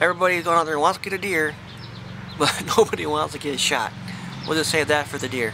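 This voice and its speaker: Over noticeable background noise, a man with a fairly high pitch talks at a very fast pace with ordinary pitch variation and long, frequent pauses. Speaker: hunter. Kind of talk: gun review talk to camera. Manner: mumbling.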